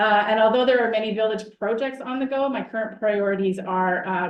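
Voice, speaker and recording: A woman with a Canadian accent speaks at a fairly quick pace and medium pitch. Her pitch varies in an ordinary way, and there is audible room echo. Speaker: municipal chief administrative officer. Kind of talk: council meeting report. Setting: council meeting. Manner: fast.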